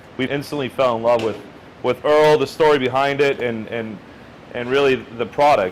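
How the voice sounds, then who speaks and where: Fairly even in intonation and moderate in pace, this is an unremarkable speaking voice. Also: man, medium pitch for a man. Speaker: executive chef. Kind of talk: interview answer.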